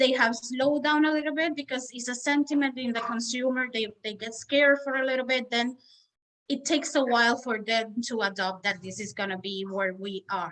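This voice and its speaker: A woman with a Spanish accent speaks at a moderate pace in a high pitch, her bright, sharp tone carrying ordinary pitch variation. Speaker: mortgage loan officer. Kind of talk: interview.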